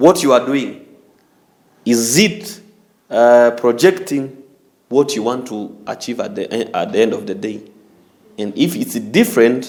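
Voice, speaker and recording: A man speaks fairly slowly, his pitch swinging very widely. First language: not English. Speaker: talk show host. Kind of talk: group discussion. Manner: halting, many fillers and restarts.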